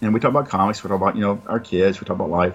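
This man talks in a Southern US accent, moving at a very fast pace. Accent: Southern US (Georgia). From US South, Georgia. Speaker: comic book publisher and writer. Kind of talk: casual interview.

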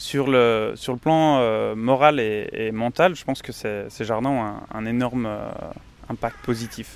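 A man speaks at a very slow pace, with a medium pitch and fairly even intonation. His loudness swings widely. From Belgium. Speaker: engineering student. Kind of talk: interview. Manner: halting, many repetitions.

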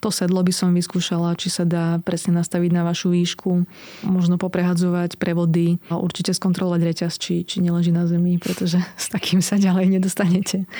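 A woman's fairly low-pitched voice, fairly quick and monotone, flat in intonation. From eastern Slovakia. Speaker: blogger and runner. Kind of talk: casual interview. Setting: studio.

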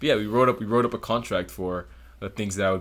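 A man with an American accent, vocal fry and lively intonation, at a very fast pace, in a very clean recording with a silent background. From South Florida (Broward County). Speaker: engineering student. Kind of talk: casual interview chat.

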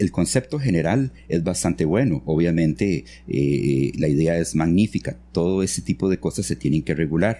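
Showing vocal fry and a dark, mellow tone, a man with a very deep, low pitch speaks at a moderate pace with very wide pitch swings. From Costa Rica, grew up in San Vito near Panama border. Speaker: architect and engineer. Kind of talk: interview. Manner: halting, many fillers and repetitions.

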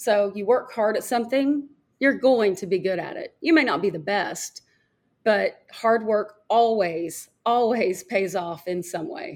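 In an American accent, a woman with a normal speaking voice talks at a fairly slow pace. Her pitch is fairly high and her intonation lively, on a very clean recording with a silent background. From Arkansas, US South. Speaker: former golf TV reporter. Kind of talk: interview.

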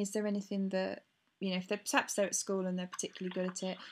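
A woman at a medium pitch with a British accent, on a very clean recording with a silent background. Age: 20s. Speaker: podcast host interviewing athletes. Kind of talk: casual interview.

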